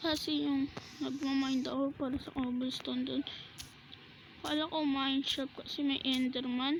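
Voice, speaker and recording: Soft-spoken and high-pitched, a woman talks at a moderate pace in a flat monotone. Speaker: gaming vlogger. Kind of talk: gameplay commentary.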